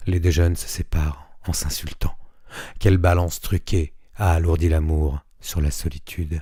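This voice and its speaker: A man speaks in a very deep, low pitch with a dark, mellow tone, somewhat breathy and monotone, at a fairly slow pace. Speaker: reader of a written text. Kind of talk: literary / poetry reading.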